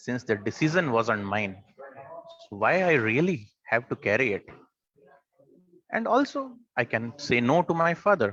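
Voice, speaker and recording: The tone is bright and sharp. Pitch varies in an ordinary way. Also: man. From India. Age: 30s. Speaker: club member giving a speech. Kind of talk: prepared speech. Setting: online meeting from a coffee shop.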